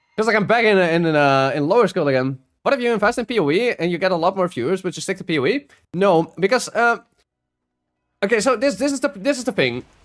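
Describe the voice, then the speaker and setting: A high-pitched man with a Dutch accent, very fast pace and very wide pitch swings. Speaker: video game streamer. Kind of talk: casual live-stream chat while gaming. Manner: halting, with frequent fillers and restarts.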